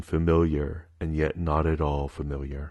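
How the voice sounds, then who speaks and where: Against a quiet background, a man speaks in a very deep, low pitch with monotone, flat intonation. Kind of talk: audiobook-style narration of a romance novel.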